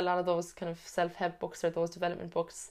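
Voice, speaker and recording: A woman's fairly low voice with a Cork accent, on a very clean recording with a silent background. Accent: Cork Irish. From Ireland, Cork. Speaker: personal trainer and nutrition coach. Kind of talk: casual interview. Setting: in person.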